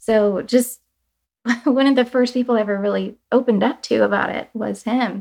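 A woman with an American accent uses a normal speaking voice, moderate pace, fairly high pitch, and fairly even intonation. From US, Cuban family. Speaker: artist and communications director. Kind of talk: interview.

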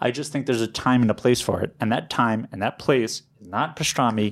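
A normal speaking voice at a moderate pace, with hardly any pauses, ordinary pitch variation and big swings in loudness. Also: man. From New York City. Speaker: deli owner. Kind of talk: casual interview chat.

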